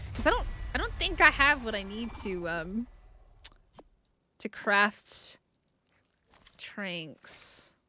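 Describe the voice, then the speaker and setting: A woman speaks in a raised, projected voice. Her pitch swings very widely. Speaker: gaming streamer. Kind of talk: live gameplay stream chat. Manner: casual, rambling with fillers.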